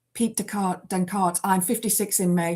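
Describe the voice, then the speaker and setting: On a very clean recording with a silent background, a woman talks at a moderate pace. She has an unremarkable speaking voice with a medium pitch and fairly even intonation. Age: 50s. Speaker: livestreamer. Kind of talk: casual chat. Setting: livestream.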